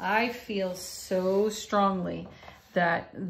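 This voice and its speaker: A woman's monotone, flat intonation over light background noise. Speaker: tarot card reader. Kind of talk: spiritual reading monologue. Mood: warm, encouraging. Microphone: phone near.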